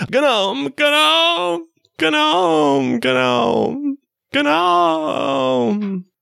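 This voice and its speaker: Shouting in a put-on character voice at a middle pitch. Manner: screaming.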